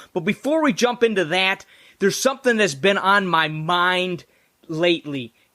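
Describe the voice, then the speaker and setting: A man projects a raised, high-pitched voice with a bright, sharp tone and lively intonation at a moderate pace. The recording is very clean, with a silent background. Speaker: podcast host. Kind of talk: podcast intro.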